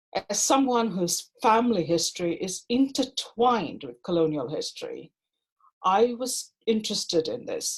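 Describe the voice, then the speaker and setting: A somewhat breathy woman with a fairly high pitch speaks with lively intonation and big swings in loudness. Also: moderate pace. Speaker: doctoral researcher. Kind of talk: conference panel talk.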